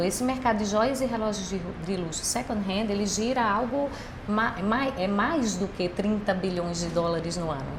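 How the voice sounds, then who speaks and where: Amid noticeable background noise and audible room echo, a woman talks at a moderate pace and medium pitch with ordinary pitch variation. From Brazil, Recife (Pernambuco). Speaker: business executive. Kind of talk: podcast interview.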